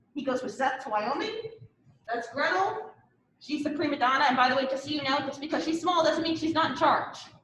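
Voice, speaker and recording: Amid audible room echo, a woman with an American accent speaks at a high pitch with ordinary pitch variation. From US East Coast. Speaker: university professor. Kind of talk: lecture. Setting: classroom. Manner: fast.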